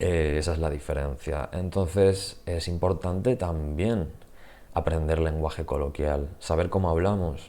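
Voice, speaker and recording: In a very deep, low pitch, the man speaks fairly slowly with a dark, mellow tone. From Spain, Murcia. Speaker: Spanish teacher. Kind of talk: channel introduction, casual monologue. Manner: hesitant, with fillers.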